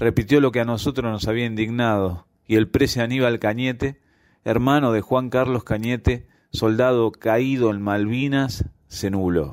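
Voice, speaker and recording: A man with an unremarkable speaking voice, medium in pitch, fairly slow, with fairly even intonation, in a very clean recording with a silent background. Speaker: amateur writer, listener contributor. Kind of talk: reading aloud his own short story.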